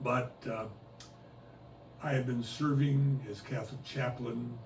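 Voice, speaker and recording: A man talks at a fairly slow pace with fairly even intonation. Audible room echo and noticeable background noise run through the recording. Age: 80s+. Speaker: retired cruise ship chaplain. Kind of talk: oral history interview. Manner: hesitant, with frequent uhs.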